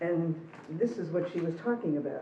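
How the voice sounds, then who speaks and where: With audible room echo around her, a woman talks at a fairly quick pace in a fairly low voice with ordinary pitch variation. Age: 60s. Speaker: interviewee sharing personal story. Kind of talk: personal testimony.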